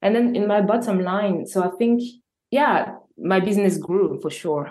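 A woman speaks at a medium pitch. She has a French accent. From Normandy, France. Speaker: entrepreneur and filmmaker. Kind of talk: interview conversation. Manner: halting.

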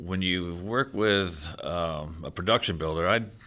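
Very clean and set against a silent background, this recording features a man with an American accent, a very deep, low pitch, a bright, sharp tone, ordinary pitch variation and a fairly slow pace. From Maryland, Rockville (US Mid-Atlantic). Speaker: construction project manager. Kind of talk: casual interview.

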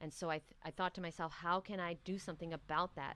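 With a New York accent, a woman with a fairly low pitch speaks at a moderate pace in a bright, sharp tone. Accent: New York American. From New York City. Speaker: raw vegan coach and author. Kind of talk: interview.

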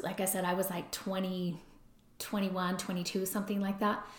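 There is noticeable background noise. Over it, a woman talks at a medium pitch and a moderate pace. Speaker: podcast host, recovery and relationships. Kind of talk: solo podcast monologue. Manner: conversational.

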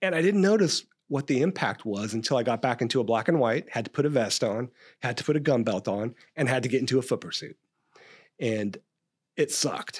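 On a very clean recording with a silent background, a man talks at a medium pitch in an ordinary speaking voice. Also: lively intonation, fairly quick pace. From California, Stockton. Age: 50s. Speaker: police captain and training expert. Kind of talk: interview about police training. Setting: podcast interview.

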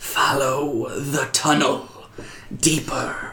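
The voice is a put-on character voice. Its pitch sits low to middle. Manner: whispering.

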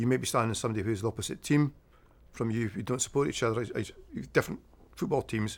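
With a Scottish accent, a man talks at a very fast pace broken by long, frequent pauses, using a medium pitch and ordinary pitch variation. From Scotland. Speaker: tartan cloth salesman. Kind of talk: casual chat.

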